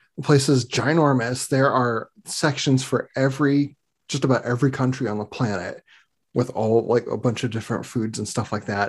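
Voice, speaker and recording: The speaker sounds somewhat breathy, with fairly even intonation at a moderate pace. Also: man, medium pitch for a man, quiet background. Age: 30s. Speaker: podcast host. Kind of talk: casual chat. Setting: video call.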